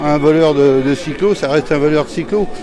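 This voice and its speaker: Crowd noise fills the background as a man speaks at a fairly high pitch. His pitch varies in an ordinary way. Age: 70s. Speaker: retired police officer and union activist. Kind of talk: interview answer.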